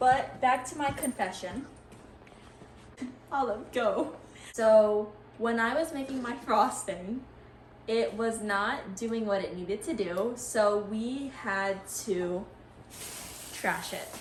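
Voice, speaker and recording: The speaker's tone is upbeat, with ordinary pitch variation and audible room echo. Delivery is very slow, broken by long, frequent pauses. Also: woman, fairly high pitch for a woman. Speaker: student giving a how-to demo. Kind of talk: tutorial. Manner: soft-spoken; casual, upbeat.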